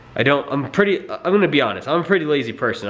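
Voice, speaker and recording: Fairly quick, lively male speech with noticeable background noise and audible room echo. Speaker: car vlogger. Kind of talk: casual vlog. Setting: garage. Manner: halting, tongue-tied; quiet.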